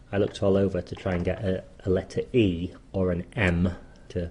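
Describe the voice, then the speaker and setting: A man's dark, mellow tone in a Yorkshire accent. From northern England, Leeds. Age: 50s. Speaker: menswear writer. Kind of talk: personal memoir talk. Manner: casual with hesitations.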